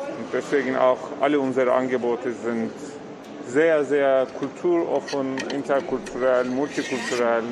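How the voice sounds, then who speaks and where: Noticeable background noise sits behind a man speaking at a fairly slow pace. His medium pitch stays monotone and flat. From Turkey. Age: 30s. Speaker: community worker. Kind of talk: interview. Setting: cooking school kitchen in a market hall.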